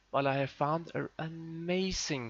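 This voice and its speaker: This man speaks with a Danish accent and ordinary pitch variation. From Denmark. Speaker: tech and gaming YouTuber. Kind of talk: tutorial. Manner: casual, hesitant with fillers. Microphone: muffled old recording.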